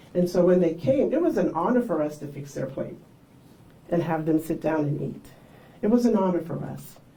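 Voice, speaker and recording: A woman with a fairly low pitch talks at a fairly quick pace with lively intonation, yet leaves long, frequent pauses. Audible room echo surrounds her voice. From South Carolina Lowcountry, Charleston and Sea Islands. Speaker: pastor. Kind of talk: storytelling talk to an audience. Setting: library event with audience. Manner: conversational.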